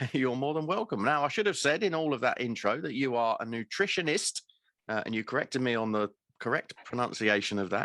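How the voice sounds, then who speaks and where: On a very clean recording with a silent background and a dry, close sound with no echo, a man with a British accent talks fairly quickly in a bright, sharp tone with lively intonation. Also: medium pitch for a man. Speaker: podcast host. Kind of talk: interview.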